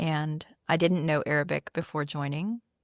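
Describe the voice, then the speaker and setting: An unremarkable speaking voice with an American accent and fairly even intonation. The recording is very clean, with a silent background and a dry, close sound with no echo. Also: woman. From US, military upbringing (Philippines, Turkey, Texas). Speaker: CEO and AI adoption coach. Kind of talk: podcast interview.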